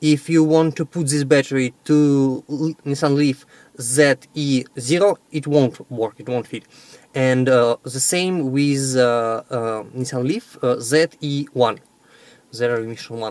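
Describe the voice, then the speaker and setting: Speaking with a Russian accent, a man talks at a fairly slow pace with fairly even intonation. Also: medium pitch for a man, dry, close sound with no echo. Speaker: electric car owner and battery seller. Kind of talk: video vlog and sales pitch. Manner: halting with many fillers.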